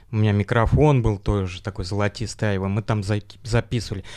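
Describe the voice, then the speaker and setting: At a fairly quick pace, a man speaks in a fairly low pitch with fairly even intonation. The recording is very clean, with a silent background. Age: 40s. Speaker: engineer, church member, former rehab patient. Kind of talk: interview. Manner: halting.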